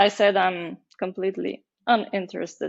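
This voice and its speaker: A woman with a Bulgarian accent talks at a fairly slow pace and a medium pitch. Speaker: marketing agency founder. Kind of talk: podcast interview. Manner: hesitant, many fillers.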